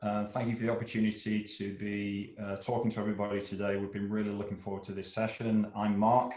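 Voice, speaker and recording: A man rushes along at a very fast pace with hardly any pauses, fairly low pitch and monotone, flat intonation. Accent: English. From England. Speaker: business consultant. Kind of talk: presentation. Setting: video call.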